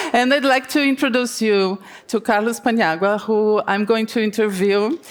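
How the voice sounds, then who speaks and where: A woman with a Brazilian Portuguese accent speaks at a fairly slow pace with ordinary pitch variation. Noticeable background noise is present. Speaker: TV journalist, interviewer. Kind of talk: conference panel interview. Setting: stage with audience.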